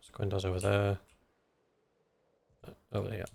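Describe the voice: Mumbling in a put-on character voice, a man talks at a moderate pace with a fairly low pitch.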